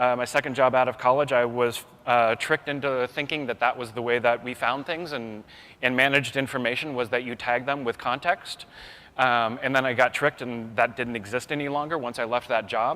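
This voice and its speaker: Speaking at a fairly quick pace, a man with an American accent uses a medium pitch, a bright, sharp tone and fairly even intonation. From US West Coast (born Bay Area, Northern California). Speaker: keynote speaker, information systems designer. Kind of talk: conference keynote. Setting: conference stage with audience. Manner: hesitant, many fillers.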